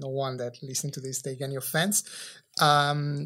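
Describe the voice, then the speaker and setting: A man with an Italian accent speaks at a fairly slow pace in a very clean recording with a silent background. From Italy. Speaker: entrepreneur. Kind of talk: podcast interview; reading aloud. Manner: halting.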